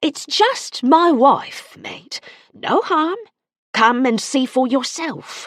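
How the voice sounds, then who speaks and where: A put-on character voice at a high pitch moves at a very slow pace. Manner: menacing.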